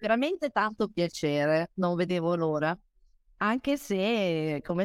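A woman with a fairly low pitch talks at a fairly slow pace, in a dry, close sound with no echo on a very clean recording with a silent background. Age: 50s. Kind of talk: interview on a live stream.

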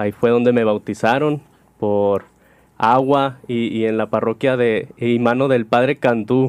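Against a quiet background, a man speaks at a fairly slow pace in a medium pitch. His intonation is flat and monotone. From Sonora, Mexico (Cananea). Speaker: priest. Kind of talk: casual chat.

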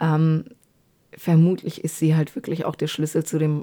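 A woman with a very deep, low voice and a dark, mellow tone speaks at a moderate pace with fairly even intonation. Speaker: true crime podcaster. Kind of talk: narrated case retelling. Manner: frequent filler hesitations. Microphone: new microphone.

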